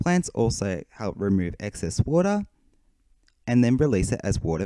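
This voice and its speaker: In an Australian accent, this voice has a dark, mellow tone and very wide pitch swings, delivered at a moderate pace in a dry, close sound with no echo. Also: man. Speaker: hermit crab hobbyist and forum moderator. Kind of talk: presentation.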